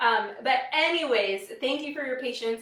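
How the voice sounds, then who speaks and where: A woman speaks in a high voice with an American accent. Her pace is fairly slow and her pitch variation ordinary. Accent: slight Wisconsin accent, comes out at times. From US Midwest, Wisconsin. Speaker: product demonstrator, cooking host. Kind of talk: live product demo stream. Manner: casual, frequent fillers.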